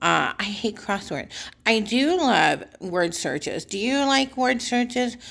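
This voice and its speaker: The recording is very clean, with a silent background. A woman speaks with lively intonation. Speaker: vlogger. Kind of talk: casual monologue. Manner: hesitant fillers.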